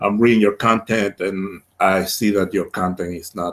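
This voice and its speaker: On a very clean recording with a silent background, a man with a Spanish accent speaks at a fairly slow pace, his fairly low pitch held in fairly even intonation. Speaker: project owner defending a funding proposal. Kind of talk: interview. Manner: halting, many repetitions and fillers.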